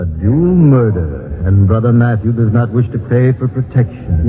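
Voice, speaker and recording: Music plays in the background as a man at a medium pitch talks at a moderate pace with lively intonation. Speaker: villain in a radio drama. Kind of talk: archaic, preacher-like speech with thee and thou. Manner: pompous, sanctimonious oratory.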